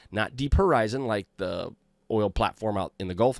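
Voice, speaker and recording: In a very clean recording with a silent background and a dry, close sound with no echo, a man with an American accent and a fairly low pitch speaks at a moderate pace with lively intonation. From US Midwest, Iowa. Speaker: cybersecurity podcast host. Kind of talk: podcast monologue. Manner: casual, halting with fillers.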